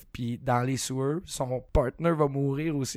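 With a Quebec accent, a man speaks at a moderate pace and a medium pitch. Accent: Québécois French. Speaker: horror film podcast co-host. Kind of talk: casual chat.

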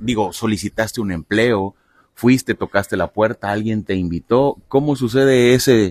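A man with a fairly low pitch speaks at a moderate pace with ordinary pitch variation in an unremarkable speaking voice. The sound is dry and close, with no echo. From Mexico, Veracruz (Lerdo de Tejada). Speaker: podcast host. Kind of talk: casual interview. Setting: outdoors at a football field.

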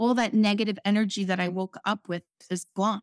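A woman's medium-pitched voice at a moderate pace with fairly even intonation, dry and close with no echo, on a very clean recording with a silent background. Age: 50s. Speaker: motivational speaker and trauma survivor. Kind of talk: personal testimony in interview. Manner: halting.

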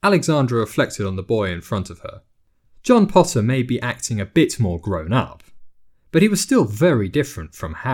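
This is an unforced reading voice. The words come out in an unforced reading voice.

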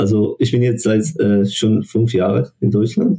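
A man's somewhat breathy voice at medium pitch and a fairly slow pace. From Morocco. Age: 20s. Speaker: international student. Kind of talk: casual interview. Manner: halting, searching for words.

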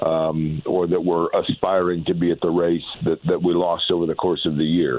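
In a monotone, flat intonation, this man speaks at a moderate pace with a very deep, low pitch. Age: 40s. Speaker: motorsport radio announcer. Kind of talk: interview conversation. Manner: hesitant with fillers.

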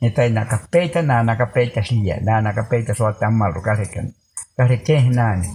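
Fairly slow speech with long, frequent pauses and ordinary pitch variation. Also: man. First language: Baniwa (speaking Portuguese). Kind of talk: storytelling. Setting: around a fire in a longhouse at night.

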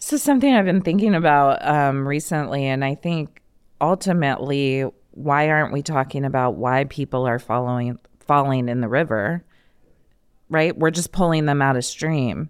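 A woman speaks with a very deep, low pitch and ordinary pitch variation at a moderate pace. The recording is very clean with a silent background. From Iowa, rural US Midwest. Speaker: trafficking survivor and advocate. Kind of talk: testimony.

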